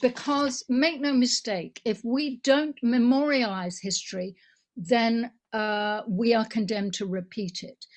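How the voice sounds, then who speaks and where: In an English accent, a woman speaks at a fairly slow pace and fairly high pitch, with ordinary pitch variation and big swings in loudness. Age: 70s. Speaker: political activist. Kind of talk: conference motion speech.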